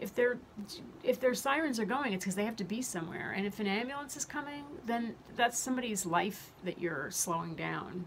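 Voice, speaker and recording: A fairly quick pace over light background noise. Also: woman. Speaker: health vlogger. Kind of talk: casual vlog chat. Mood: earnest, somewhat angry. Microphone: phone near.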